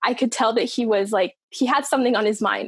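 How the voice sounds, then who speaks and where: A woman's ordinary speaking voice at a moderate pace, with fairly even intonation, in a very clean recording with a silent background. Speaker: singer. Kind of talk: casual chat.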